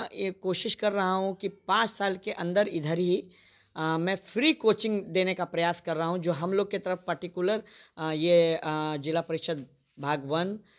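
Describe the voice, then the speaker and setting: A man speaks with a high pitch and fairly even intonation. The recording is very clean, with a silent background. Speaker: local politician. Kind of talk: political statement interview.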